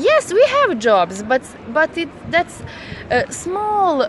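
Very slowly and with very wide pitch swings, a woman speaks over noticeable background noise. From Bosnia, Velika Kladuša. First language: Bosnian (speaking German). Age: 20s. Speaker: nursing student. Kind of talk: street interview. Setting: outdoors at a market square. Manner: halting.

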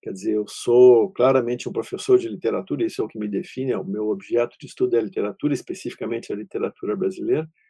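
A man speaking very fast with hardly any pauses and big swings in loudness. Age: 60s. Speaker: literature professor. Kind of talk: lecture.

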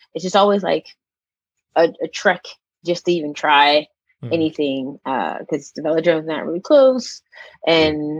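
A woman with a plain, everyday voice and an American accent talks at a fairly quick pace and fairly low pitch. Her pitch varies in an ordinary way, and the sound is dry and close with no echo. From Pittsburgh, Pennsylvania. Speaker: cycling club member. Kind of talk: casual interview chat.

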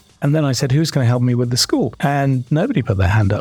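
A man with a British accent speaks with ordinary pitch variation over noticeable background noise. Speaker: corporate learning executive. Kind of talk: interview.

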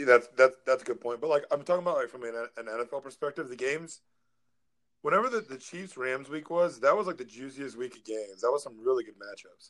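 A man with an American accent in an ordinary speaking voice, fairly high in pitch, with lively intonation at a fairly quick pace. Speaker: fantasy football podcast co-host. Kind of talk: casual chat.

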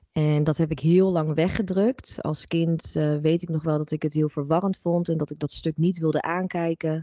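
Fairly quick woman with a fairly low pitch, fairly even intonation and a plain, everyday voice. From Netherlands. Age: 30s. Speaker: holistic psychologist and reiki practitioner. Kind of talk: interview conversation.

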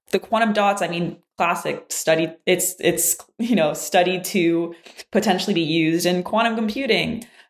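In a French Canadian accent, a woman speaks at medium pitch. Her pace is moderate and her pitch varies in an ordinary way. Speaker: physics graduate student. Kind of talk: casual interview.

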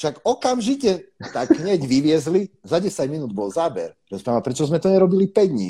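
At a moderate pace, a man with a dark, mellow tone swings his pitch very widely. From eastern Slovakia, Košice. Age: 30s. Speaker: carp angler. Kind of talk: casual chat.

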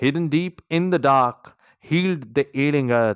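A man with an Indian accent, very slow and warm, dramatic in tone, with very wide pitch swings, in a dry, close sound with no echo and a very clean, silent background. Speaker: poet and podcaster. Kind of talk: poetry performance, read aloud with an intro and outro. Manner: slow, measured, dramatic and emotive delivery; earnest, warm, encouraging.

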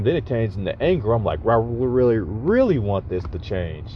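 A man's fairly low voice at a very fast pace over noticeable background noise. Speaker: podcaster. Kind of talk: casual monologue. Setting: in a car. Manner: halting, many fillers.

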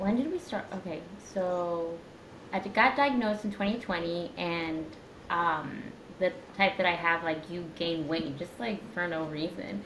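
A woman with an American accent talks at a fairly slow pace in a fairly low pitch with ordinary pitch variation, with audible room echo around her. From US Midwest, Indiana. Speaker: speech language pathologist, coaching client. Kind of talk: casual interview. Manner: hesitant, many fillers.

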